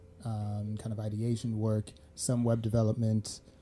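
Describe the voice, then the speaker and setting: With music in the background, a man speaks fairly slowly at medium pitch in a monotone, flat intonation. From Sweden. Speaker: media company founder, brand consultant. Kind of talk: casual chat.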